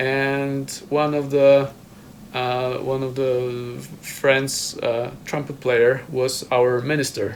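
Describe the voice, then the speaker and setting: A man with a Polish accent speaks at a very slow pace in a monotone, flat intonation and medium pitch, with audible room echo and noticeable background noise. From Poland. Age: 30s. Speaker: trumpet player. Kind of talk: casual chat. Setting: video hangout in a home. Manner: halting.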